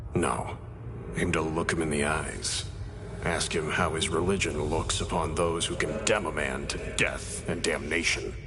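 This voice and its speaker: At a moderate pace, a man puts on a character voice with very deep, low pitch over loud background noise. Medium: machinima. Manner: terse, clipped.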